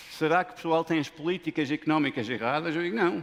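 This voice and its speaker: This man talks at a fairly quick pace with a fairly high pitch. His tone is animated, and his pitch varies in an ordinary way. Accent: non-native. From Lebanon / Denmark. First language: not Portuguese (speaking Portuguese). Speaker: business school professor. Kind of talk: conference talk.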